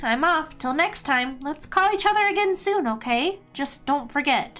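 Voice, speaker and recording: A put-on character voice at a moderate pace, with very wide pitch swings and faint music in the background. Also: woman, high pitch for a woman. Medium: game stream. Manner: candid, wistful.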